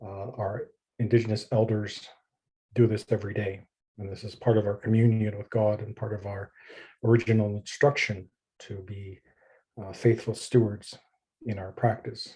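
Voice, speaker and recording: Somewhat breathy and dark, mellow in tone, the voice moves at a moderate pace in a flat monotone with big swings in loudness and long, frequent pauses, on a very clean recording with a silent background. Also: man, fairly low pitch for a man. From Canada, Stoney Nakoda (Assiniboine) community. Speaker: pastor and theologian. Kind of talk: presentation with prayer and land acknowledgement. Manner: measured, reverent.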